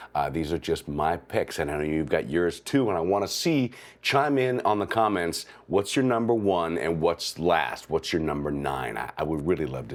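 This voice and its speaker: A man's vocal fry and very wide pitch swings at a moderate pace. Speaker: movie reviewer. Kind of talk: casual video commentary.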